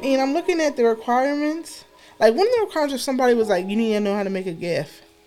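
Over music in the background, a woman talks at a very fast pace with a high pitch. Her tone is animated, with very wide pitch swings. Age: 30s. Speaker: podcast host. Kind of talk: casual solo podcast monologue.

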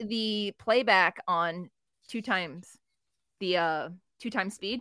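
Bright and sharp in tone, a woman of medium pitch speaks with lively intonation and long, frequent pauses. The sound is dry and close, with no echo. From New Jersey. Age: 40s. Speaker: wrestling writer. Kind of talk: casual chat.

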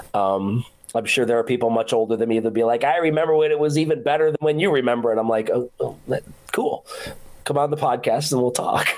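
With an American accent, a man talks at a very fast pace with ordinary pitch variation and very even loudness, over noticeable background noise. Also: medium pitch for a man. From Rochester, New York. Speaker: podcast host. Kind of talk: casual chat.

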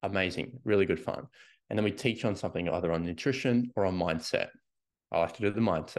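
A man with an Australian accent speaks in an animated tone with ordinary pitch variation against a quiet background. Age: 30s. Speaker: fitness coach. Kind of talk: solo podcast monologue.

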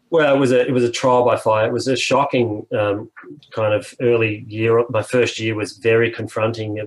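With an Australian accent, a man speaks at a moderate pace in a medium pitch, his intonation monotone and flat. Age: 50s. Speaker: music industry executive. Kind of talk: casual interview.

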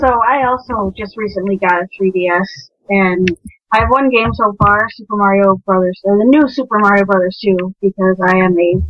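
A normal speaking voice with an American accent moves at a moderate pace with ordinary pitch variation. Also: woman. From Minnesota. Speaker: game programmer. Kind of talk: casual chat. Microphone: poor mic, may sound quiet.

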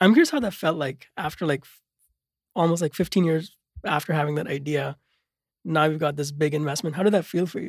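The pace is fairly quick. Long, frequent pauses break up the speech. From immigrant to the US. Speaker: podcast host. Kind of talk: interview. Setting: studio.

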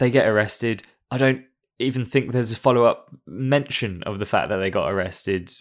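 A man with an ordinary speaking voice talks at a moderate pace in a medium pitch. The recording is very clean, with a silent background. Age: 30s. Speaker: film podcast guest. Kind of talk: casual chat.

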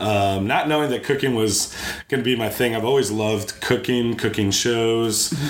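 Over noticeable background noise and audible room echo, a man with an American accent talks at a moderate pace, medium in pitch with fairly even intonation. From Chicago, later Memphis from 16. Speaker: chef and restaurant owner. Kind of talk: casual interview chat.

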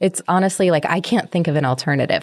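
A woman speaks in an ordinary speaking voice at a fairly low pitch. Her intonation is fairly even, and the background is quiet. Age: 30s. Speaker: podcast host. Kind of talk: solo monologue podcast.

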